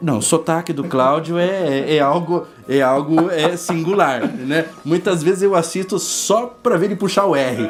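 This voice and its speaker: Over music in the background, a man talks fairly slowly in a high pitch with ordinary pitch variation. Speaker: biologist at a lab. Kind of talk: casual interview chat. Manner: hesitant, many fillers.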